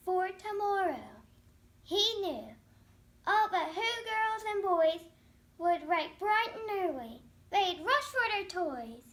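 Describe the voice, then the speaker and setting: A woman uses a put-on character voice, squeaky and extremely high in pitch. She goes at a fairly slow pace with long, frequent pauses. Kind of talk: children's read-aloud story. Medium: read story. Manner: rhythmic, repetitive emphasis.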